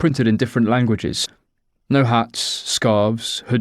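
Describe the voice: A plain reading aloud with fairly even intonation over a quiet background.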